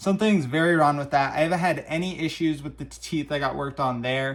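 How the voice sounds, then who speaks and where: In a normal speaking voice with an American accent, the speaker moves at a fairly quick pace. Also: man. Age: 20s. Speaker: vlogger. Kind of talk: casual monologue. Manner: casual, conversational.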